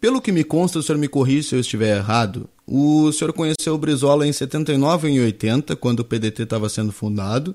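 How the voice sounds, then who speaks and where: A plain, everyday voice at a moderate pace with hardly any pauses and lively intonation, on a very clean recording with a silent background. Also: man. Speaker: news show host. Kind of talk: live interview.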